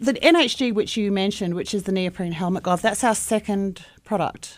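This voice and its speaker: A woman with an Australian accent speaks at a fairly quick pace in a medium pitch with ordinary variation. The recording is very clean, with a silent background. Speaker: small business owner and inventor. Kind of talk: radio interview.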